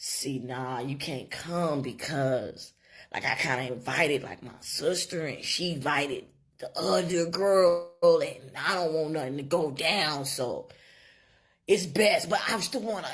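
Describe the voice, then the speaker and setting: A woman puts on a raspy character voice, fairly low in pitch, talking at a fairly slow pace with lively intonation. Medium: voice reel. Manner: casual, trying to sound smooth.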